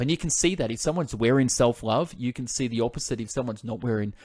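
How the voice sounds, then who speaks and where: A medium-pitched man with an Australian accent on a very clean recording with a silent background. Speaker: podcast host. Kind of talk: interview.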